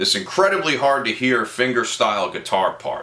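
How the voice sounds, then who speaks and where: A man speaks with vocal fry and a bright, sharp tone. His delivery sounds playful. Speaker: guitar teacher. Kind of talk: tutorial. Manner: casual, playful.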